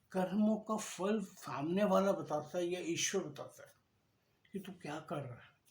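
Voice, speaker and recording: Big swings in loudness mark a man's high-pitched voice with ordinary pitch variation. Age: 60s. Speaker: devotional speaker. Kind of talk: spiritual talk. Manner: conversational.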